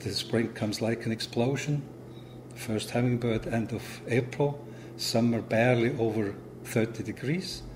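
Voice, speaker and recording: A man speaks with a Swiss German accent. His intonation stays fairly even. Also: medium pitch for a man, moderate pace. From Switzerland, Zurich. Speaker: immigrant homeowner. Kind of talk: documentary interview.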